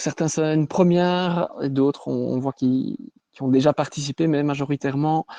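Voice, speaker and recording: A man with a Belgian accent, fairly high-pitched and dark and mellow in tone, at a moderate pace with fairly even intonation and long, frequent pauses, in a dry, close sound with no echo. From Belgium, Wallonia. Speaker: sales manager and physical education trainer. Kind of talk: webinar presentation. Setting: online webinar.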